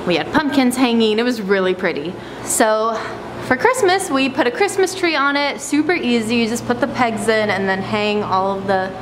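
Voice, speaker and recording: Noticeable background noise is present throughout. Over it, a woman talks at a moderate pace. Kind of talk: casual vlog chat. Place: shop. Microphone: phone near.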